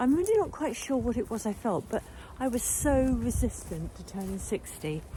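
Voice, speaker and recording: A woman talks at a fairly slow pace. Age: 60s. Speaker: nutritional therapist. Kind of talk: casual vlog monologue. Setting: outdoors, walking.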